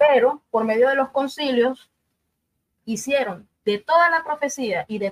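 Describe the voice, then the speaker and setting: A woman talks with lively intonation at a fairly high pitch. The sound is dry and close, with no echo. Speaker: debate panelist. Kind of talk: religious debate. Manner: fast.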